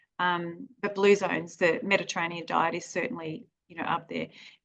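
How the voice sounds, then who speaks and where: Here is a woman with a plain, everyday voice at medium pitch. She speaks at a fairly quick pace with ordinary pitch variation. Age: 40s. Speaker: naturopath. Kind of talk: health advice interview.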